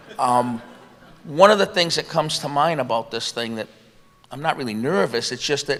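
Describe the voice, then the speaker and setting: Through noticeable background noise, a man with a fairly high pitch and lively intonation speaks with long, frequent pauses. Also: big swings in loudness. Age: 60s. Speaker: retired iron worker. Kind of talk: panel discussion.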